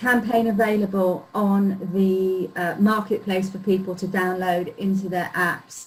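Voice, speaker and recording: In a London accent, a woman speaks at a fairly slow pace with hardly any pauses. Her voice is medium in pitch and somewhat breathy. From London, England (North London). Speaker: marketing automation consultant. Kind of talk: tutorial.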